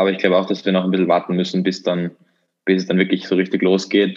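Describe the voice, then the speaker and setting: This man speaks with a very deep, low pitch. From Austria, Vienna. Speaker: podcast co-host, student investor. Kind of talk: casual chat.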